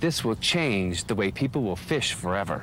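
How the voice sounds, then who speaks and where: There is vocal fry in this man's voice. He moves at a moderate pace, and his pitch swings very widely. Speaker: infomercial host.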